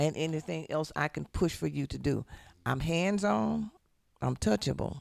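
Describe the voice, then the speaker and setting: At a moderate pace, a man speaks in an animated tone, recorded with a dry, close sound and no echo. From US South, South Memphis. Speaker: city council candidate. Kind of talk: radio interview. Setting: studio. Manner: loud.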